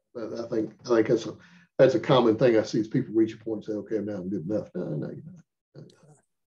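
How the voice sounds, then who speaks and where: A man speaks very fast at a medium pitch, with a dark, mellow, somewhat breathy tone, ordinary pitch variation and big swings in loudness. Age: 70s. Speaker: firearms instructor. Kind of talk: casual chat.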